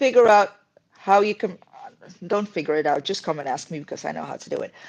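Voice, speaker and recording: The speaker is a woman. She talks with a Dutch accent. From Netherlands. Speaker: YouTuber. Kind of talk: casual chat. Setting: live stream. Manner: animated.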